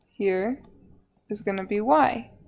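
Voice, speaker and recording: A woman at medium pitch, her pace very slow and her pitch varying in an ordinary way, with music behind her. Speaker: high school math teacher. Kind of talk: lecture.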